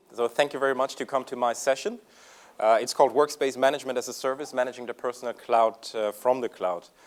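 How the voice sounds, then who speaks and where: A man at medium pitch with a slight German accent, very fast pace and fairly even intonation. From Germany. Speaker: software company executive. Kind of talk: conference presentation. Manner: hesitant, many fillers.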